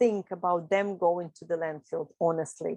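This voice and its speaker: The speech moves at a fairly slow pace with fairly even intonation and a dark, mellow tone, the sound dry and close with no echo. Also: woman. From Ukraine. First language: Russian. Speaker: upcycling teacher. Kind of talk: interview. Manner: hesitant, with fillers.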